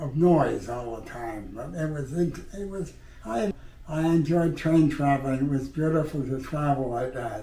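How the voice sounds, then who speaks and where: Amid noticeable background noise, a man with a fairly high pitch speaks at a fairly slow pace with ordinary pitch variation. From Canada. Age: 80s+. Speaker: war veteran. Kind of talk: interview answer.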